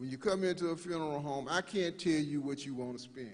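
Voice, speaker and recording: With a normal speaking voice and an American accent, a man talks at a fairly quick pace, his fairly high pitch showing ordinary variation. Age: 60s. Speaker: funeral director. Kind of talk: workshop presentation. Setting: live-streamed church workshop.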